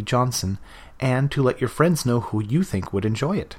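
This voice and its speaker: A man's somewhat breathy, medium-pitched voice with a Canadian accent, fairly quick and lively in intonation, in a very clean recording with a silent background. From Canada, Vancouver area. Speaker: podcast novelist. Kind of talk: scripted introduction.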